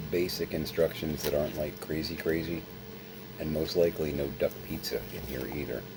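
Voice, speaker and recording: Very deep, low male voice at a moderate pace, monotone and flat, over noticeable background noise. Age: 50s. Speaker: vlogger. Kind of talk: casual vlog monologue. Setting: at home, late at night.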